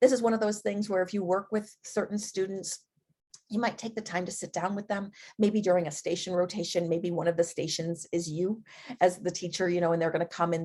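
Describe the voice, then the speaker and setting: This woman's voice sits fairly low in pitch. She speaks at a fairly quick pace with fairly even intonation. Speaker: edtech presenter for teachers. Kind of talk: live webinar presentation. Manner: fast.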